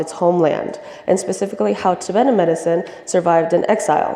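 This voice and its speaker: Over noticeable background noise, a woman with an American accent talks at a very fast pace and fairly low pitch, her voice making very wide pitch swings. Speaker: student presenter. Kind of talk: presentation.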